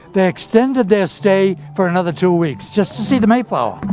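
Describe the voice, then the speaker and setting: A high-pitched man at a fairly quick pace, with noticeable background noise. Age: 80s+. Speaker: community TV host. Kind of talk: on-location interview. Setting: outdoors at a shipyard. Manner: animated.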